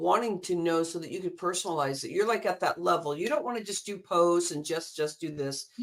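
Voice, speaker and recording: Over noticeable background noise, a woman with a fairly low pitch talks fairly quickly with ordinary pitch variation and hardly any pauses. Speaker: interview host, business coach. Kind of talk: casual interview conversation.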